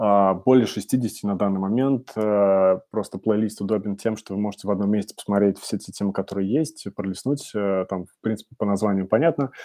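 Over a quiet background with a dry, close sound and no echo, a man with a dark, mellow tone talks at a fairly quick pace with hardly any pauses, fairly even intonation and big swings in loudness. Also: fairly low pitch for a man. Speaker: webinar host. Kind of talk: webinar presentation. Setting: online webinar. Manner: fast; frequent filler sounds.

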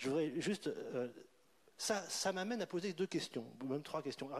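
This is a man talking. His intonation is lively. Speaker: debate summarizer. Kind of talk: panel discussion. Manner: animated.

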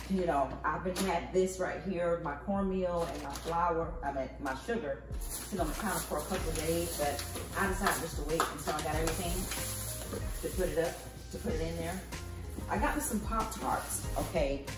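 Over clear background music, a woman speaks at a moderate pace with audible room echo. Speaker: home vlogger. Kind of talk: casual vlog chat. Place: kitchen. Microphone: camera far.

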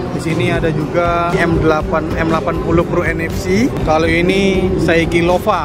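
Over clear background music, a man's voice comes through dry, with no echo. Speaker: event vlogger. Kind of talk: casual walkthrough commentary. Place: hall. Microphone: phone near.

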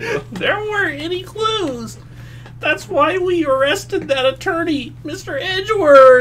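A woman puts on a squeaky, nasal character voice at a high pitch. She speaks at a fairly slow pace over clear background noise. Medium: fan dub. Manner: nervous, deferential.

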